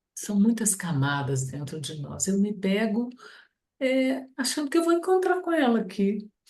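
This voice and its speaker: A woman talks at a fairly slow pace in a somewhat breathy voice. Her pitch swings very widely. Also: fairly high pitch for a woman. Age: 60s. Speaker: study group participant. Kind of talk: group discussion.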